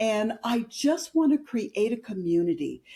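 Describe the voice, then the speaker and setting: Somewhat breathy with a dark, mellow tone, a woman speaks at a fairly slow pace. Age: 60s. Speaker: entrepreneur, women's community founder. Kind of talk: casual interview chat.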